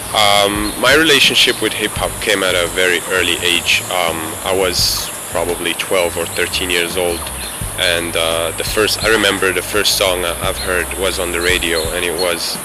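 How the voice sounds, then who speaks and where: Very deep, low-pitched man at a fairly slow pace, fairly even intonation, audible room echo and noticeable background noise. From Morocco, Casablanca. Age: 20s. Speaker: hip hop fan. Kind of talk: interview testimony. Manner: hesitant, many fillers.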